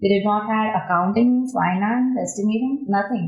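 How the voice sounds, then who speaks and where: Against noticeable background noise, a woman speaks at a medium pitch with an Indian accent. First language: Indian language. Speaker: construction project engineer. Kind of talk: podcast interview.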